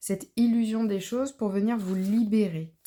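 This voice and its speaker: A woman speaks fairly slowly in a dark, mellow tone with ordinary pitch variation. The recording is very clean, the background silent. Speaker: tarot card reader. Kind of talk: spiritual tarot reading. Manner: hesitant, many fillers.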